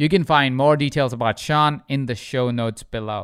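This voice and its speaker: On a very clean recording with a silent background, a man with a plain, everyday voice speaks fairly quickly, his pitch varying in an ordinary way. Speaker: podcast host. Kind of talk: interview conversation.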